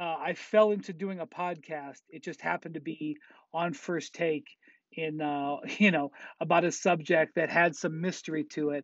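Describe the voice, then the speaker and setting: Here a man speaks with a high pitch and ordinary pitch variation. The sound is dry with no echo, and the background is quiet. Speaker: sports journalist. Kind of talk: interview answer. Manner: casual, conversational. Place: studio. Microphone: earbuds.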